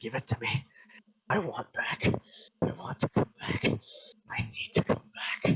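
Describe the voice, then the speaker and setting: A man puts on a raspy character voice. He talks at a fairly slow pace. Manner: threatening, desperate.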